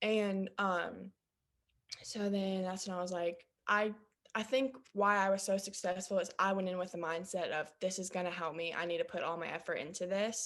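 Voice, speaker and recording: A woman's medium-pitched voice, an unremarkable speaking voice, at a moderate pace with fairly even intonation. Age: 19. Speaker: coaching client. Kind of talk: testimonial interview.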